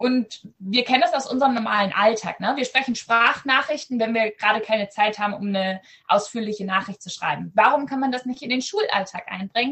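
A woman's fairly high voice, with ordinary pitch variation, keeps a moderate pace. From Southern Schleswig, Germany (Danish minority). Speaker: ed-tech startup founder, AI researcher. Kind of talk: video podcast interview. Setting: video call from home.

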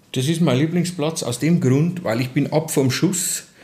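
Over noticeable background noise, a man with a Bavarian accent talks at a moderate pace and fairly high pitch with ordinary pitch variation. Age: 40s. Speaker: construction site manager. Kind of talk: casual interview. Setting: hotel heating plant.

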